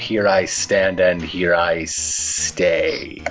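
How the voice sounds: A man puts on a character voice that growls and hisses. Background noise is clearly heard.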